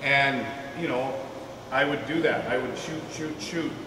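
A man talks at a moderate pace in a monotone, flat intonation. The room echo is audible, and there is noticeable background noise. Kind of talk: presentation to a small audience. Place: hall. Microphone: camera far.

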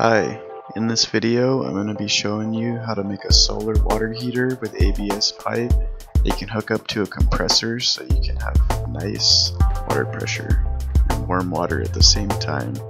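Clear music plays in the background as a man whispers at a moderate pace. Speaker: DIY builder. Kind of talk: DIY tutorial narration. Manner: whispered. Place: garden. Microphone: phone near.

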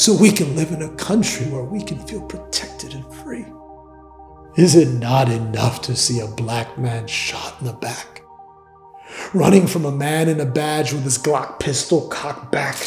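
Over faint background music and audible room echo, a man speaks with very wide pitch swings and big swings in loudness. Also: moderate pace. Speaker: spoken word poet. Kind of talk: spoken word poetry performance. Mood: intense, grieving, indignant.

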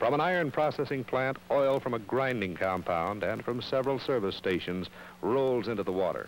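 Lively intonation from a man with a normal speaking voice, medium in pitch and moderate in pace. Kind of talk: 1960s educational film narration. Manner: formal, measured, solemn; authoritative, earnest, grave warning tone.

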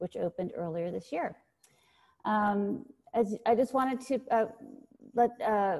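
A woman with a dark, mellow tone over a quiet background. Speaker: foundation director hosting the event. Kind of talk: event introduction. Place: home room. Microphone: earbuds.

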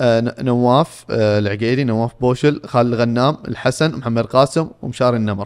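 With hardly any pauses, a man speaks at a moderate pace against a quiet background. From Saudi Arabia. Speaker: football podcast panelist; podcast co-host. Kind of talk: casual sports talk. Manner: animated. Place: studio. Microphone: studio mic.

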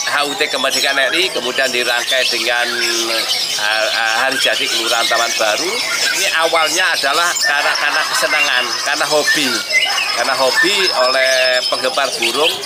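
A man talks fairly quickly while loud background noise plays. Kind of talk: interview answer. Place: street.

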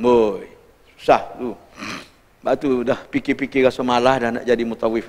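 Big swings in loudness mark this man's medium-pitched voice. His intonation is monotone and flat, at a moderate pace. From Malaysia. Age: 60s. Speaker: religious teacher. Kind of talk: lecture. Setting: mosque. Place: hall.

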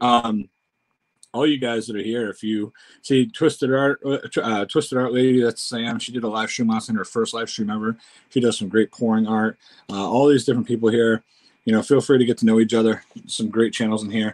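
This man has an ordinary speaking voice, a medium pitch and fairly even intonation. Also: quiet background. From United States. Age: 40s. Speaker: YouTuber doing food tasting. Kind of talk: casual livestream chat. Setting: home livestream. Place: home room. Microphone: webcam.

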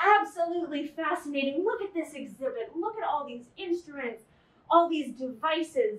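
Amid audible room echo, a woman speaks at a moderate pace in a high pitch with very wide pitch swings. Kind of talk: casual tour commentary. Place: hall. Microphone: camera far.

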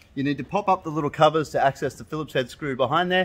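Rushing along at a very fast pace, a man talks with ordinary pitch variation. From Australia. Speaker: car audio installer. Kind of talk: DIY tutorial talk to camera. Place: workshop. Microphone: phone near.

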